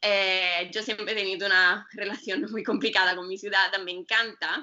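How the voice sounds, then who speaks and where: A woman speaks with an Italian accent at a moderate pace. Her pitch is medium and her intonation fairly even. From northern Italy, Bergamo. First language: Italian (speaking Spanish). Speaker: yoga teacher and writer. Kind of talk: interview. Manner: halting, many fillers. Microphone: connection cut out briefly.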